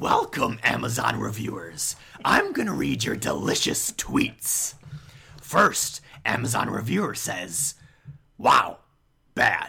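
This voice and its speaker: Putting on a raspy character voice, a man talks at a fairly slow pace with long, frequent pauses. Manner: reading reviews in character.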